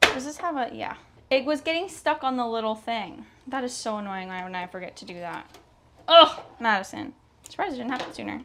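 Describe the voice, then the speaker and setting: A raised, projected voice with a bright, sharp tone and very wide pitch swings. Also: woman. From Canada. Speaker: sewing vlogger. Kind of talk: casual vlog chat. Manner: animated.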